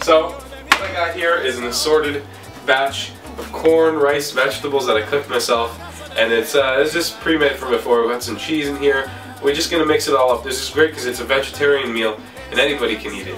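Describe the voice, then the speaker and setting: Music plays in the background and the room echo is audible. A man talks at a fairly quick pace with ordinary pitch variation. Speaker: cooking vlogger. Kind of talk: casual cooking tutorial. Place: kitchen.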